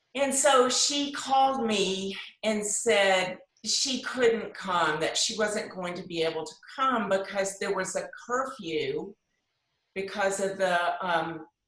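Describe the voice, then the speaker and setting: The delivery comes at a very slow pace with lively intonation. Room echo is audible. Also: woman, medium pitch for a woman. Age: 60s. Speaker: discussion group member sharing personal story. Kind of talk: personal testimony.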